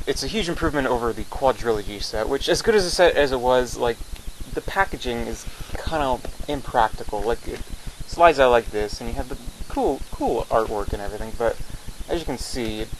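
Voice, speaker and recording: Noticeable background noise accompanies the speaker. He is a man talking fairly quickly. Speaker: movie reviewer. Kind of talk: casual talk to camera.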